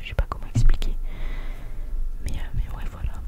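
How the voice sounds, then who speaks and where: A woman's whisper. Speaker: ASMR content creator. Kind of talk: ASMR close-up reading of viewer comments. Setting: close-up sensitive microphone. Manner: whispered, close to the microphone. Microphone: studio mic.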